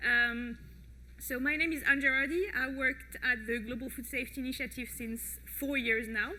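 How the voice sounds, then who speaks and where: In a room with audible echo, a woman with a French accent speaks at a moderate pace, her high pitch carried on fairly even intonation. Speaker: project manager at food safety organization. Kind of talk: conference talk. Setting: stage with audience. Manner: hesitant with many fillers.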